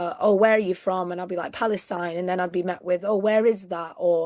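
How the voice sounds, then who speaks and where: Against a quiet background, a woman with a northern English accent speaks with ordinary pitch variation. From northern England. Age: 20s. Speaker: activist. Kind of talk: interview.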